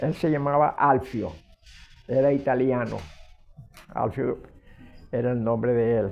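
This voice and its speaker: With music in the background, a man speaks at a medium pitch and a fairly slow pace. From Venezuela, Zulia (Machiques). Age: 80s+. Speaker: retired history teacher. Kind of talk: interview. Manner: halting.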